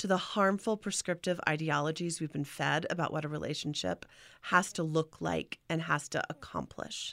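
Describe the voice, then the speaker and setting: On a very clean recording with a silent background, a woman speaks at a moderate pace with vocal fry. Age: 40s. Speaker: sex worker and educator. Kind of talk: interview.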